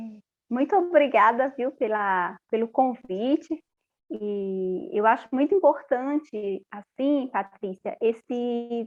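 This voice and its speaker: Speaking very slowly in a slight Paraíba accent, a woman uses a high pitch, lively intonation and big swings in loudness. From Paraíba, Brazil. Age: 40s. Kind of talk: interview testimony.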